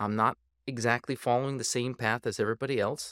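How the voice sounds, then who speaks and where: This is a plain, everyday voice with an American accent at a moderate pace. The sound is dry and close, with no echo. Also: man. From Minnesota, St. Paul. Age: 40s. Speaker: dentist and powerlifter. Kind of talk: casual chat.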